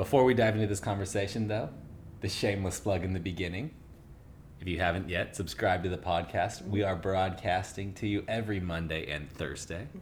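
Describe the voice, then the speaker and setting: Pitch variation here is ordinary, and the voice is somewhat breathy. The pace is fairly quick. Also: man, very deep, low pitch for a man. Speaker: podcast co-host; yoga instructor.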